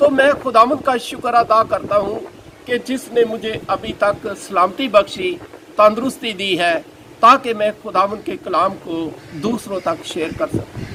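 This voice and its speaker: A man talks in a raised, projected voice with a high pitch and lively intonation. Noticeable background noise sits behind him. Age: 70s. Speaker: pastor. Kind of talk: sermon.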